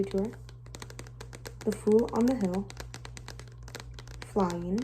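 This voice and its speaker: Soft-spoken, a woman talks at a very slow pace over noticeable background noise. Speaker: ASMR creator. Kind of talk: ASMR collection show-and-tell talk.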